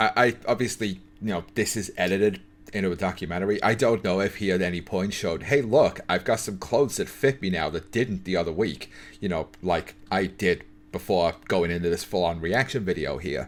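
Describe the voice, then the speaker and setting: Talking at a fairly quick pace, a man has a very deep, low pitch with ordinary pitch variation. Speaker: YouTuber reacting to a documentary. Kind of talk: reaction commentary. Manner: stutters when improvising on camera.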